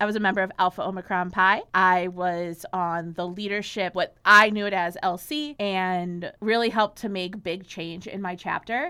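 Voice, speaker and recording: Speaking at a moderate pace with hardly any pauses, a woman with an American accent has a bright, sharp tone at a medium pitch. Her intonation stays fairly even, and the recording is very clean with a silent background. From Chicago. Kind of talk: casual interview chat.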